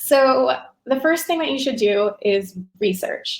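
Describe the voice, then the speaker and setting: A woman speaks in a somewhat breathy voice. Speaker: podcast marketing presenter. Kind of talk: webinar presentation. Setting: online webinar.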